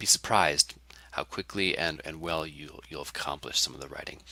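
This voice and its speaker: A man's very fast speech, bright and sharp in tone, with a dry, close sound and no echo. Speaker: college English instructor. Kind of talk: course introduction lecture. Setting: recorded online course video.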